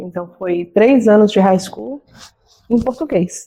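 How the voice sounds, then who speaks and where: A woman in a Brazilian accent, medium pitch and a dark, mellow tone, at a fairly slow pace with ordinary pitch variation. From Minas Gerais, Brazil. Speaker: nurse and beauty business owner. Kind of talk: interview.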